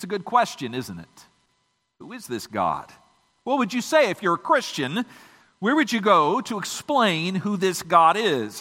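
Using a raised, projected voice with an American accent, a man of high pitch makes very wide pitch swings and big swings in loudness, with long, frequent pauses. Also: moderate pace. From Michigan. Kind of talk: sermon. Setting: church.

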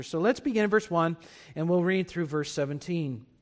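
This man talks at a high pitch. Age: 40s. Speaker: pastor. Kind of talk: sermon.

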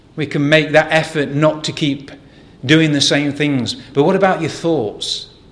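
A man with an English accent speaks at a fairly slow pace in a fairly high voice, his intonation fairly even, with audible echo from the room. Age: 40s. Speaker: lay preacher. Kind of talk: sermon. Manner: hesitant with repetitions.

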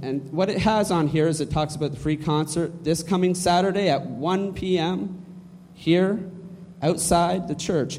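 This man has a high pitch and fairly even intonation. He speaks at a fairly slow pace, with audible room echo. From Canada. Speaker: church announcements leader. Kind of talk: church announcements. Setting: church.

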